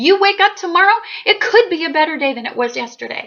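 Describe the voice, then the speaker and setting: A woman speaks in a raised, projected voice with an animated tone. Her pitch swings very widely. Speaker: astrologer YouTuber. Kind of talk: casual monologue to camera. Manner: loud.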